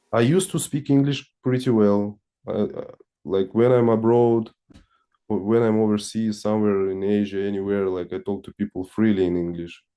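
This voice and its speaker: Speaking with a Russian accent, a man uses a dark, mellow tone at a fairly low pitch, with ordinary pitch variation and a moderate pace. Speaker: satsang participant. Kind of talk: personal testimony in spiritual Q&A. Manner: halting, many restarts.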